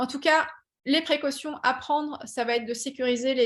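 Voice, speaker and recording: A somewhat breathy woman's voice. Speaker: patent engineer and startup founder. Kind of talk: webinar presentation. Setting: online webinar. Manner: many hesitations and fillers.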